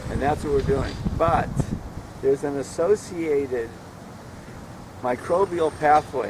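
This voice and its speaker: A man's fairly high voice, fairly slow, with long, frequent pauses and noticeable background noise. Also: ordinary pitch variation. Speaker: aquaculture project leader giving a tour. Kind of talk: guided tour explanation. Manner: halting, many repetitions.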